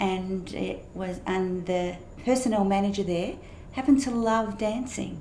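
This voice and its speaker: A woman with an Australian accent at medium pitch and ordinary pitch variation, fairly slow pace, noticeable background noise and audible room echo. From Perth, Western Australia. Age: 60s. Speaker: pastor and former champion dancer. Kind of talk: interview about life story.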